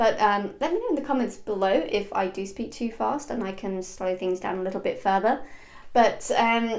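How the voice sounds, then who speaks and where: A woman's fairly high voice carries audible echo from the room. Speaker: online business coach. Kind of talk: tutorial. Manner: fast; clear diction.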